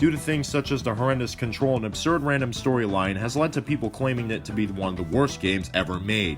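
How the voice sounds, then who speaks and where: Over background music, a man speaks at a very fast pace with hardly any pauses. His pitch is medium and his intonation lively. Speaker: gaming video creator. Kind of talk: comedic video game review narration. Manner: sarcastic, joking.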